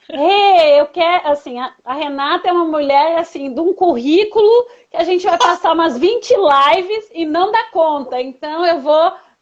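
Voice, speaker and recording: A woman talks. Her intonation stays lively. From southern Brazil, Rio Grande do Sul. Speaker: coach and live-stream host. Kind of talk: casual interview chat. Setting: Instagram live video stream.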